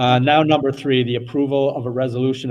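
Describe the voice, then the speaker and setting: A man speaks at a moderate pace. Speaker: school board president. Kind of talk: meeting chairing. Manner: soft-spoken.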